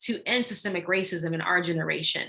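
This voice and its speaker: A woman with a Haitian accent, a bright, sharp tone and a fairly quick pace. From Haiti, raised in Jacksonville, Florida. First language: Haitian Creole. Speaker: anti-racism educator and workshop leader. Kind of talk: online workshop talk.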